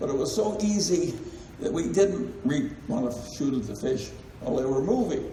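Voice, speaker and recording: A man's fairly high voice at a moderate pace, with very wide pitch swings over noticeable background noise. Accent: American. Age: 80s+. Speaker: investor and company chairman. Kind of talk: shareholder meeting talk.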